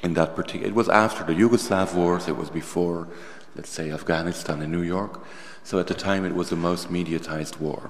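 Noticeable background noise sits behind a man with a Dutch accent and a very deep, low voice who speaks at a fairly quick pace with fairly even intonation. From Netherlands. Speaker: artist and filmmaker. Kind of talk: public conversation with students. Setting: university hall with audience.

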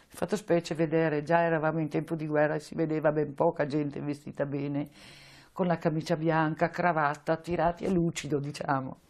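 Speaking at a fairly quick pace, a woman uses a very deep, low pitch and a monotone, flat intonation. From northern Italy, Veneto (Vicenza area); Veneto, Italy. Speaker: Holocaust deportation survivor. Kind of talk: testimony; interview answer. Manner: halting. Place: office. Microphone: lapel.

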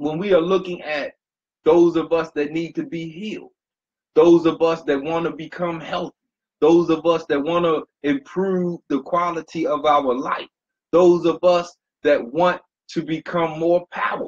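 Monotone and flat in intonation, a man speaks in a high pitch at a fairly slow pace. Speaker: motivational speaker. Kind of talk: motivational talk. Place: home room. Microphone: webcam.

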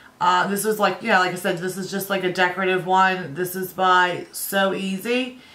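Noticeable background noise behind a woman's medium-pitched, monotone voice, moderate in pace with hardly any pauses. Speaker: beauty vlogger. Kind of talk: casual vlog talk.

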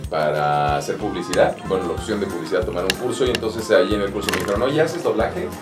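Clear music plays in the background. A man is talking over it. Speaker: voice actor. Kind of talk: interview answer. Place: studio.

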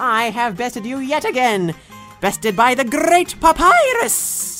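A female-sounding, put-on character voice comes in at a fairly high pitch and a fairly slow pace. Faint music plays in the background. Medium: dub. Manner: loud, boastful.

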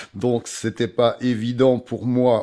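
The background stays quiet. A man's voice has a dark, mellow tone. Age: 60s. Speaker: amateur actor. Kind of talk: interview. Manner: halting. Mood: calm, reflective. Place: home room.

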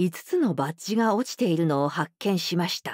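With a quiet background and a dry sound free of echo, a woman speaks at a fairly low pitch that swings very widely. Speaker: professional voice actor narrator. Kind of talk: audiobook narration of a classic detective story for young readers.

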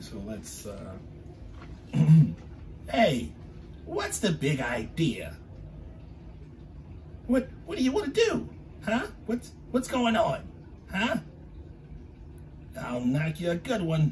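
In a put-on character voice, a man talks at a very slow pace with long, frequent pauses over clear background noise. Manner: feisty, aggressive.

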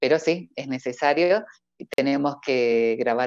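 A woman at a fairly slow pace, dry sound with no echo, quiet background. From Argentina, Córdoba; Argentina. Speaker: professional voice-over artist and announcer; announcer. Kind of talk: casual interview. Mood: cheerful, laughing. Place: home room. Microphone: earbuds.

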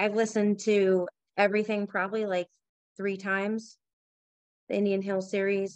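A woman speaks at a moderate pace in a dry recording with no echo and a quiet background. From Southern New Hampshire. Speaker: mother; podcast panelist. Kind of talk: casual chat. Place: home room.

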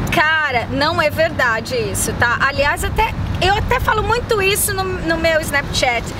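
In a Brazilian accent, a woman speaks in a raised, projected voice at an extremely high pitch, with very wide pitch swings, very even loudness and a fairly slow pace. Crowd noise sits in the background, and the sound is dry with no echo. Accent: Brazilian accent in English, medium. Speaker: YouTuber. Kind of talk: casual chat. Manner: animated. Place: waterside.

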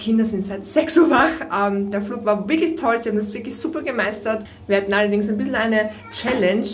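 Over music in the background, a woman talks at a fairly quick pace with lively intonation. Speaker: family travel vlogger. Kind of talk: casual vlog chat. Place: bathroom.

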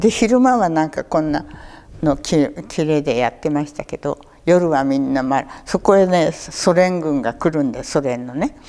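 At a moderate pace, a woman with a very deep, low voice talks with lively intonation and big swings in loudness. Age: 80s. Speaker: war survivor storyteller; war memory storyteller. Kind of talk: testimony; oral history interview answer. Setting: local museum talk event. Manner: conversational, with frequent fillers. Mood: calm, reflective storytelling. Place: hall.

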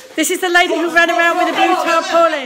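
A raised, projected voice with an upbeat, excited tone moves at a fairly quick pace over noticeable background noise. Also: woman. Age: 60s. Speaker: grandmother live-streamer. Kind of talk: casual live stream talk. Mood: amused, playful. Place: home room. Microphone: phone near.

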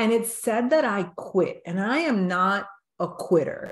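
A woman talks at a fairly slow pace, her voice somewhat breathy, with audible room echo around it. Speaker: podcast host interviewing a guest. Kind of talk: interview storytelling. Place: home room. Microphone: video call.

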